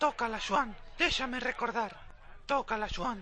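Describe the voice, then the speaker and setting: Someone uses a put-on character voice at a fairly high pitch and moderate pace, with clear background noise behind it. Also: ordinary pitch variation. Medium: fan dub.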